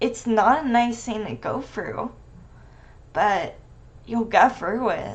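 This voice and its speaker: Speaking at a very slow pace, a woman with a fairly high pitch and vocal fry uses ordinary pitch variation. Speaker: streamer talking about a medical disorder. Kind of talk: casual livestream talk to viewers. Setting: livestream. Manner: halting.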